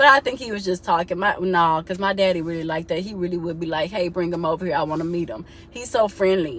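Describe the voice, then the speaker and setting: A woman with a fairly low pitch talks at a very fast pace in an animated tone, with ordinary pitch variation and hardly any pauses. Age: 30s. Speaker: vlogger. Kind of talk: casual vent to camera.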